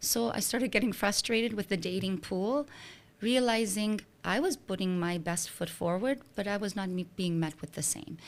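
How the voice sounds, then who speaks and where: On a very clean recording with a silent background, a woman of medium pitch speaks at a moderate pace with ordinary pitch variation. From Slovenia, moved to Canada at 13. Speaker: dating coach. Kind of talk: interview.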